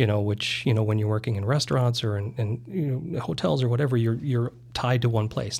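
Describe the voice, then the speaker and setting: With an American accent, a man talks at a very fast pace in a medium-pitched, somewhat breathy voice with ordinary pitch variation. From US Midwest, eastern South Dakota. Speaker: real estate broker. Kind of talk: casual interview.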